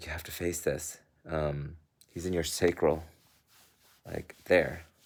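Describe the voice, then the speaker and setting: Putting on a character voice, a man sounds raspy and very deep, speaking at a fairly slow pace with monotone, flat intonation. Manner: joking, gruff.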